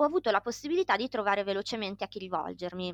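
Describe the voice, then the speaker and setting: At a very fast pace, a woman speaks in a medium pitch. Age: 30s. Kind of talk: interview.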